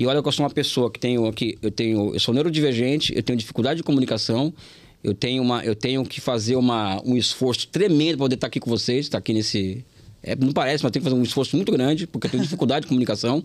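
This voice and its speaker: A man talks at a very fast pace in a medium pitch, with ordinary pitch variation. The recording is very clean, with a silent background. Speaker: professor and political candidate. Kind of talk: interview. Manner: halting, many repetitions.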